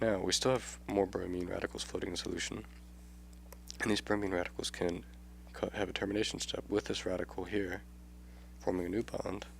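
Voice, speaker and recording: Speaking at a fairly quick pace but with long, frequent pauses, a man uses a very deep, low pitch with vocal fry and very wide pitch swings. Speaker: chemistry tutor. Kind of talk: educational tutorial explanation.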